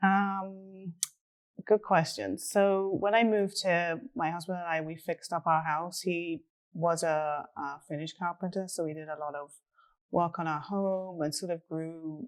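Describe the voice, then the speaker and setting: A woman with an English accent speaks fairly slowly at a fairly low pitch. Her intonation is fairly even, and the recording is very clean with a silent background. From England. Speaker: real estate agent. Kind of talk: casual interview.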